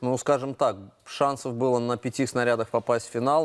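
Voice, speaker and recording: A man speaks against a quiet background. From Latvia. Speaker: gymnastics coach and former Olympic champion; gymnastics coach. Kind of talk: studio interview. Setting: TV studio. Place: studio. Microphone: lapel.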